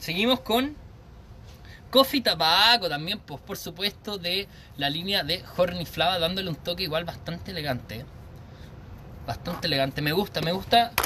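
A man with a high voice and a Chilean accent talks at a moderate pace in an animated, bright, sharp tone with lively intonation. He takes long, frequent pauses, and light background noise is present. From Chile, Santiago. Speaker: vape reviewer. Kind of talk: live stream product review. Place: garden. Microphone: phone near.

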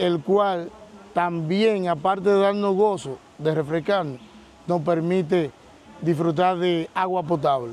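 A man with a high pitch speaks at a very slow pace and fairly even intonation, in a dry sound with no echo. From Dominican Republic. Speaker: co-interviewer. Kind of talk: interview. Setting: outdoors. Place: waterside.

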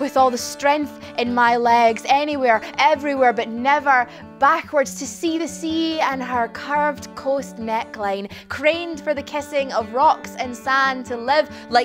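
Clear music plays in the background as a woman talks at a fairly slow pace in a high pitch. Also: ordinary pitch variation. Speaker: poet performer. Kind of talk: spoken-word poetry performance. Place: stage.

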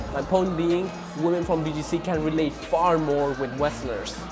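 A man at a moderate pace with fairly even intonation, clear music in the background. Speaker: expat vlogger. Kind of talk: casual vlog chat. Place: cafe. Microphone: lapel.

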